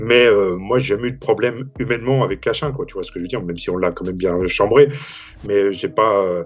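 A man talks at a fairly quick pace, medium in pitch with ordinary pitch variation. His loudness swings a lot, and noticeable background noise is present. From Saint-Denis, Paris suburbs, France. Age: 50s. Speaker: magazine founder. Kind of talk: casual interview.

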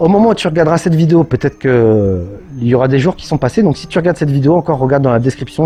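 Amid noticeable background noise, a man speaks very fast at a fairly high pitch. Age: 30s. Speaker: YouTuber and entrepreneur. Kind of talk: personal video monologue. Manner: hesitant, many fillers.

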